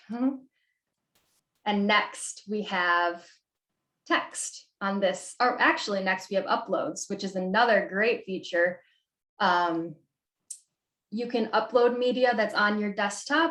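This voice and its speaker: At a very slow pace, a woman speaks with long, frequent pauses and ordinary pitch variation, in audible room echo over a quiet background. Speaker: graphic designer and workshop presenter; presenter. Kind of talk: tutorial. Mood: friendly, relaxed.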